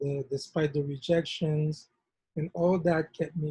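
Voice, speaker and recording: A man with a fairly high pitch speaks in a dark, mellow, somewhat breathy tone with monotone, flat intonation. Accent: Haitian. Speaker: nonprofit founder. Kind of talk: workshop discussion.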